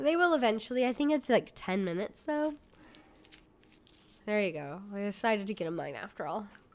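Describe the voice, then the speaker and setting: Speaking at a fairly quick pace, a woman with a fairly high voice swings her pitch very widely and leaves long, frequent pauses. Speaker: game streamer. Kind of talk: casual live-stream chat with gameplay commentary.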